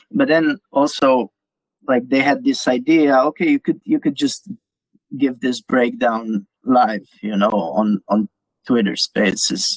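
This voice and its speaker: In a non-native accent, the speaker goes at a very slow pace with very even loudness. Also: man. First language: not English. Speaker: crypto community writer. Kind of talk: interview. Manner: halting, many repeated words.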